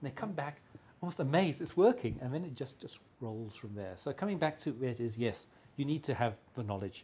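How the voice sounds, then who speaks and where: With an English accent, a man speaks at a medium pitch and a fairly quick pace, his intonation lively. His tone is dark and mellow, and somewhat breathy. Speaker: mechanical engineer and consultant. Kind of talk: interview. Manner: fast; halting, many repetitions.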